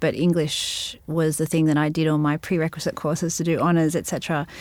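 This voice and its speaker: Over a silent background in a very clean recording, a woman with a fairly low voice speaks at a very fast pace. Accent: Australian. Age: 30s. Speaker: singer-songwriter and novelist. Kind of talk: interview.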